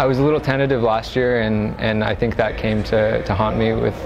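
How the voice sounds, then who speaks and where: A fairly quick delivery over clear music in the background. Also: man. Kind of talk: interview answer. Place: studio.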